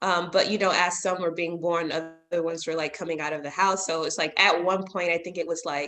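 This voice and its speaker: A woman with an American accent talks at a fairly low pitch and a fairly quick pace. Her intonation is monotone and flat, with hardly any pauses. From US South, Alabama. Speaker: doctoral student. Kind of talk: interview. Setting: video call. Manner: cheerful, smiling.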